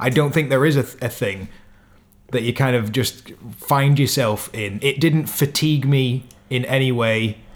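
A man speaks at a moderate pace. He has an unremarkable speaking voice. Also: medium pitch for a man. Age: 20s. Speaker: podcast co-host. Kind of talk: casual chat.

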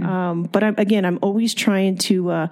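A woman with an American accent has an ordinary speaking voice, a medium pitch and ordinary pitch variation. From California, Ventura County (Fillmore). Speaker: fairgrounds CEO. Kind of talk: interview, casual chat.

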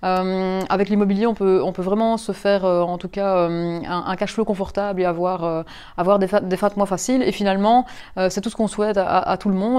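A woman with a medium-pitched, dark and mellow voice talks fairly quickly with fairly even intonation. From Belgium, Mons. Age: 30s. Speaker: property investor. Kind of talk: interview. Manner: halting.

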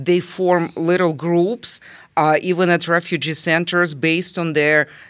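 A woman with a Russian accent talks at a fairly slow pace. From southern Russia. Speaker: volunteer aiding refugees. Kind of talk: interview. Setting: library recording room. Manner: emotional, hesitant.

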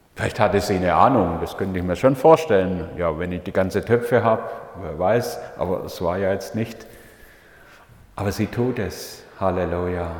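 Over noticeable background noise and audible room echo, a man talks at a moderate pace with a fairly low pitch and ordinary pitch variation. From Swabia, southern Germany (Leonberg near Stuttgart). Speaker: pastor. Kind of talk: sermon. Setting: church.

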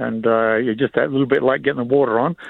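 At a very fast pace, a man with an Australian accent talks at a medium pitch with ordinary pitch variation. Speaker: nursery grower. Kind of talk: radio interview. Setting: phone call.

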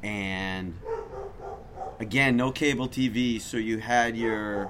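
A man with an American accent speaks at a very slow pace and a medium pitch. His intonation stays fairly even, with noticeable background noise behind him. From Chicago, US Midwest. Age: 50s. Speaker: sports club executive. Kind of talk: casual chat. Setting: outdoors.

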